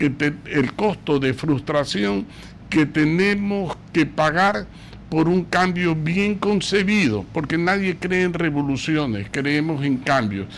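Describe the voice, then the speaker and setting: A man with a fairly high pitch talks at a very slow pace, his intonation lively and his loudness very even. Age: 70s. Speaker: political commentator. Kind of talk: radio talk show interview.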